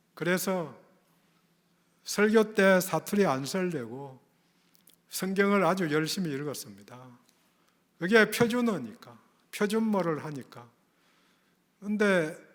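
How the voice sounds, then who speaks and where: A man at a high pitch with lively intonation, fairly slow pace, long, frequent pauses and big swings in loudness, in audible room echo. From Gyeongsang region, South Korea. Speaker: pastor. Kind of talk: sermon.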